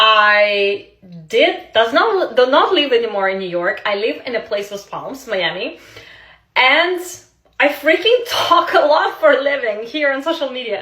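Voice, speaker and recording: Speaking in a Russian accent, a woman with a high pitch uses a raised, projected voice and an animated tone, with very wide pitch swings at a fairly slow pace, amid audible room echo. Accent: Russian accent, non-native English. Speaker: social media creator, former model. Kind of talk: casual storytelling to camera.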